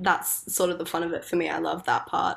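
A woman's fairly low voice at a moderate pace, in a very clean recording with a silent background. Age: 20s. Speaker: singer-songwriter. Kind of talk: casual interview chat.

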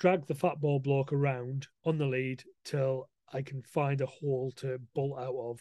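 Over a quiet background, a man talks in a northern English accent with a fairly high pitch and a dark, mellow tone. His intonation stays monotone and flat. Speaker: dog trainer. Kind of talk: casual chat.

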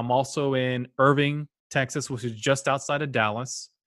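The recording is very clean and the background silent. His voice sits at a medium pitch, and his intonation stays fairly even. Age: 40s. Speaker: podcast host and passive real estate investor. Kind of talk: interview.

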